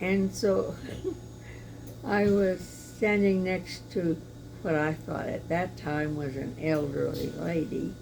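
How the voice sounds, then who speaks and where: A woman talks very slowly amid noticeable background noise and audible room echo. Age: 80s+. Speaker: churchgoer giving testimony. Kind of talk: testimony. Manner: halting, with fillers.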